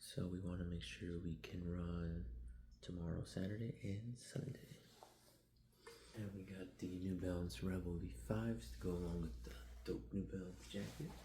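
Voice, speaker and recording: A man whispers at a moderate pace with vocal fry. Room echo is audible around him. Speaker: vlogger, amateur runner. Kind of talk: vlog narration. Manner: whispering; casual, hesitant.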